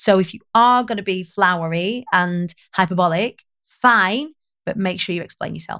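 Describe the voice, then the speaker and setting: In a Lancashire accent, a woman speaks at a moderate pace and medium pitch with ordinary pitch variation, in a dry, close sound with no echo. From northern England, Preston, Lancashire. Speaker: public speaking coach. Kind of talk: casual interview chat.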